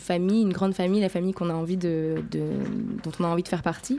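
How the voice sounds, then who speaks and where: Recorded very cleanly against a silent background, a woman speaks with a dark, mellow tone. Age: young. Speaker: jazz singer. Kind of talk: interview.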